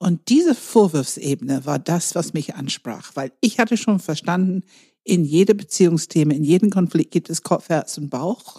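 A woman speaks at a moderate pace in a dark, mellow tone, with a dry, close sound and no echo. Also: fairly low pitch for a woman, lively intonation. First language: not German (speaking German). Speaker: enneagram coach and trainer. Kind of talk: podcast conversation.

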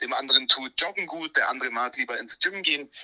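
A man's voice, recorded dry and close with no echo. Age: 30s. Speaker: breathwork coach. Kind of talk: interview. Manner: animated.

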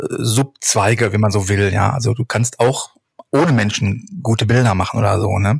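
A man talks at a fairly slow pace. His voice is somewhat breathy, with ordinary pitch variation. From Ruhr area, Germany (Hattingen). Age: 40s. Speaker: street photographer. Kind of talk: casual chat. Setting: remote browser recording.

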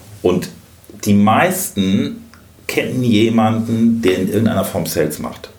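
Speaking at a very slow pace with long, frequent pauses, a man talks at medium pitch. Noticeable background noise and audible room echo fill the recording. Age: 50s. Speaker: sales expert. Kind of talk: interview.

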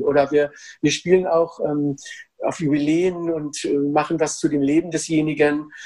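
The voice is a man's, dark and mellow in tone. He keeps a moderate pace. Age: 50s. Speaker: actor and drama therapist. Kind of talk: interview. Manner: halting, many fillers and repetitions.

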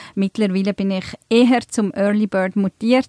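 A woman with an ordinary speaking voice, medium pitch, fairly even intonation and a moderate pace, in a dry, close sound with no echo. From Switzerland, Emmental (Bern), born in Turkey. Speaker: events manager, podcast co-host. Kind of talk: casual chat. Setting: studio.

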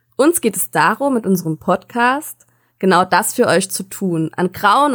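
A woman speaks in a normal speaking voice at a moderate pace, her medium pitch carried by lively intonation, with a dry, close sound and no echo. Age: 20s. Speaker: podcast co-host, educator and social work student. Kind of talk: scripted podcast intro.

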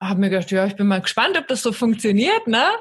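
In a very clean recording with a silent background, a woman speaks in a normal speaking voice. Her pitch is fairly high, with ordinary variation. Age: 30s. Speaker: life coach and podcaster. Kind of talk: casual chat.

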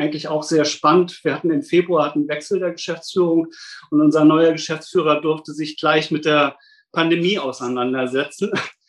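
A man with an unremarkable speaking voice talks at a moderate pace, his pitch fairly high. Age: 50s. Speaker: safety engineer at a hospital. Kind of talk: interview.

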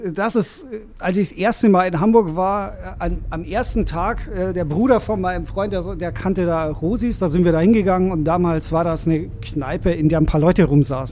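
A man with a high pitch and ordinary pitch variation talks at a moderate speed, with background noise clearly noticeable. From Bavaria, Germany (Rosenheim, Upper Bavaria). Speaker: lawyer and DJ. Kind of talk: casual interview conversation.

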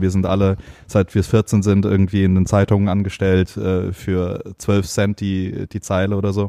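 A man's fairly low-pitched voice with a dark, mellow tone and a dry, close sound with no echo. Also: very clean recording, silent background. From Heidelberg, Germany. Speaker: fashion and beauty photographer. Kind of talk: casual chat.

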